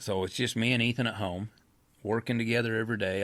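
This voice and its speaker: Speaking with an American accent, a man uses a plain, everyday voice at a fairly quick pace with fairly even intonation. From Idaho, US West. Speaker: horse trainer and rancher. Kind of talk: interview, personal storytelling. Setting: studio.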